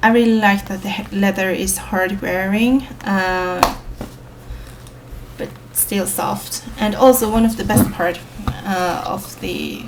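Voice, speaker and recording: Over noticeable background noise and audible room echo, a woman talks very slowly with fairly even intonation. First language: Swedish. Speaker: planner reviewer, vlogger. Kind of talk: product show-and-tell. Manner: hesitant, many fillers.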